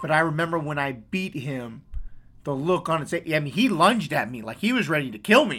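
With an American accent, a man with a fairly high pitch and a bright, sharp tone talks at a fairly quick pace with lively intonation in a very clean recording with a silent background. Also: big swings in loudness. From US West Coast. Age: 40s. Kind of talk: casual chat. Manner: loud; energetic.

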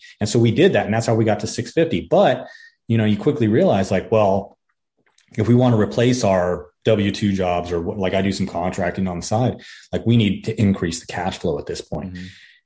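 Somewhat breathy and dark, mellow in tone, a man talks at a fairly quick pace with a fairly low pitch. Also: ordinary pitch variation. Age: 40s. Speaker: military veteran turned real estate investor. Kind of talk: interview.

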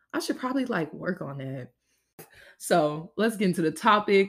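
Animated and fairly quick, a woman's voice moves through very wide pitch swings. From Louisiana. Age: 20s. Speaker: podcast host, university student. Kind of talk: casual solo monologue.

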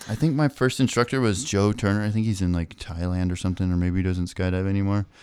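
A soft-spoken man talks at a very fast pace with a fairly low pitch and ordinary pitch variation. The recording is very clean, with a silent background. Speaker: skydiver and canopy coach. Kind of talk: casual interview chat. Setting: studio. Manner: quiet, soft-spoken.

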